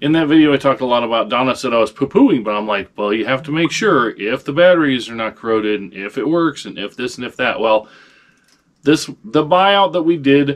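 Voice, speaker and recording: Lively intonation carries the speech at a fairly quick pace. The background is quiet. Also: man. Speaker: online reseller. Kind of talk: casual vlog chat. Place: home room. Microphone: camera far.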